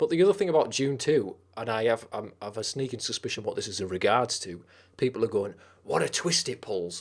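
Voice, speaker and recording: With a Teesside accent, the speaker goes at a fairly quick pace with lively intonation and big swings in loudness, on a very clean recording with a silent background. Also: man. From northern England, Teesside. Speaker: streamer. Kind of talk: casual chat. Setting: live stream.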